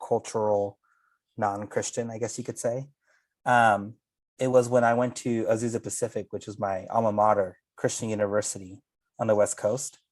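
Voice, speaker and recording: The speaker has a Spanish accent and fairly even intonation at a moderate pace. The recording is very clean, with a silent background. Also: man. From California Central Valley (Salvadoran immigrant). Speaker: pastor and theologian. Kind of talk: casual conversation.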